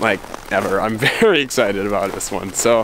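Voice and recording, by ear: A man speaks at a moderate pace with a fairly bright tone. Faint background noise sits behind him.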